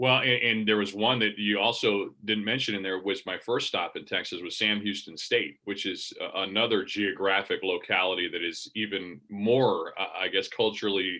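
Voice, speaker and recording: A man talks at a moderate pace. He leaves hardly any pauses. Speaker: college sports play-by-play broadcaster. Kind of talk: casual interview. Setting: video call. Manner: rambling with frequent repetitions.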